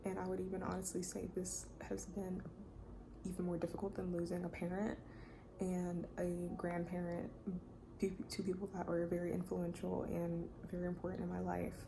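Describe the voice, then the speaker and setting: A woman's voice at a moderate pace with long, frequent pauses and very even loudness, plus audible room echo and noticeable background noise. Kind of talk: testimony. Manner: soft-spoken.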